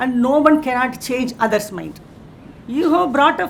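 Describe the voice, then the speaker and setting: Fairly quick in pace, a woman talks at a high pitch. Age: 60s. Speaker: university official addressing students. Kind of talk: inaugural speech.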